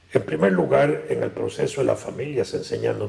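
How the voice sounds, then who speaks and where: A man speaks rather briskly. Background noise is clearly audible. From Costa Rica, San José. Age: 70s. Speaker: political analyst. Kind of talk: interview.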